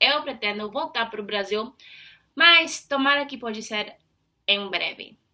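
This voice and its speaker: This woman's voice has a bright, sharp tone, a medium pitch, and ordinary pitch variation. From United States. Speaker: YouTuber, Portuguese learner. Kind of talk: casual vlog monologue. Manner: halting, frequent fillers.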